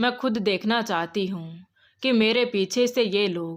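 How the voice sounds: Ordinary pitch variation marks a natural reading voice. Behind it, the background is quiet.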